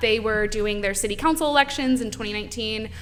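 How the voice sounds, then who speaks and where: With an American accent, this voice shows pitch that varies in an ordinary way. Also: woman. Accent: Texan accent only comes out in the South. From Texas (San Antonio). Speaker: campaign field director. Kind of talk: podcast interview.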